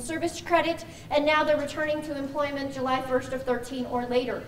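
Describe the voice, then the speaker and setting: A woman speaks at a fairly quick pace with fairly even intonation. There is audible room echo and noticeable background noise. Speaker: pension plan representative. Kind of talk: orientation presentation. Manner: fast.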